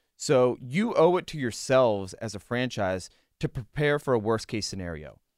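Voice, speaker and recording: In a very clean recording with a silent background, a man with an American accent talks at a moderate pace in a normal speaking voice, medium in pitch, with lively intonation. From Western Pennsylvania. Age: 30s. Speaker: sports reporter. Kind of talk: casual chat. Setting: studio.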